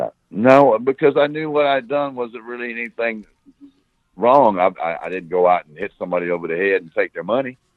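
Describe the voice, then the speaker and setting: A man with an American accent talks fairly quickly at medium pitch, with lively intonation and big swings in loudness. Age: 60s. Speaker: former smuggler. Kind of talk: interview. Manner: halting.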